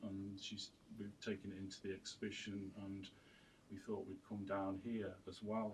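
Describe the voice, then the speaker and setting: At a fairly slow pace, a man speaks in a somewhat breathy voice at a fairly low pitch. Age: 50s. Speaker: artist and printmaker. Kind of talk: radio interview. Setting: radio studio. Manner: halting, many repetitions and fillers.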